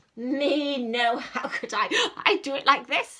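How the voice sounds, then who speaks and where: A woman puts on a character voice at a high pitch. She goes at a fairly slow pace. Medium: read story. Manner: matter-of-fact.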